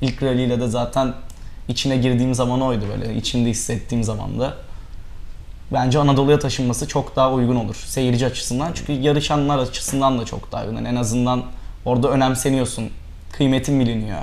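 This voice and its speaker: This man talks at a very fast pace. His intonation stays monotone and flat. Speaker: rally co-driver; guest. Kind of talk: interview. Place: studio. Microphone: lapel.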